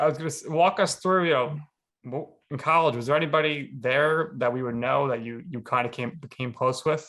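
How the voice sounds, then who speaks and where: A man with a New York accent, a bright, sharp tone, fairly high pitch, ordinary pitch variation and a fairly quick pace. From New York City, Staten Island. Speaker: podcast host. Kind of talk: podcast interview.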